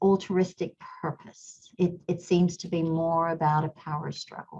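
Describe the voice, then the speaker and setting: Very slowly and somewhat breathily, a woman talks at a fairly low pitch with a slight English accent. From Kenya. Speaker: company CEO, engineer. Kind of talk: interview conversation.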